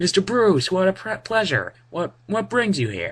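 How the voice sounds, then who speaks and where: High-pitched put-on character voice from a man, moderate in speed. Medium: read story. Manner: nervous, ingratiating.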